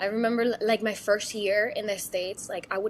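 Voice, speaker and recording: In a Mexican accent, a woman speaks at a medium pitch. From Mexico City. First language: Spanish. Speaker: actress and singer. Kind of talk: casual interview. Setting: podcast interview. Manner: animated.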